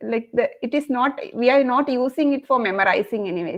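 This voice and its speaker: Speaking at a moderate pace with a Kerala Indian accent, a woman uses a high pitch and ordinary pitch variation. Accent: Malayali Indian English. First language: Malayalam. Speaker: Sanskrit learner sharing experience. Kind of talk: online group discussion.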